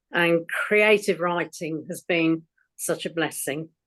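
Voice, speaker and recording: In an English accent, a woman with a fairly low pitch speaks very slowly and in a monotone, flat way over a quiet background. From England. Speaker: poet with mild cognitive impairment. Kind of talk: casual introduction. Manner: hesitant.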